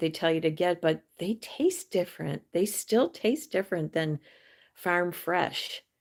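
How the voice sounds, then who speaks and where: Recorded very cleanly against a silent background, a woman with a plain, everyday voice speaks at a fairly slow pace and a fairly low pitch. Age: 60s. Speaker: YouTuber livestreamer. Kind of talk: casual livestream chat. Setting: home livestream. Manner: rambling with fillers.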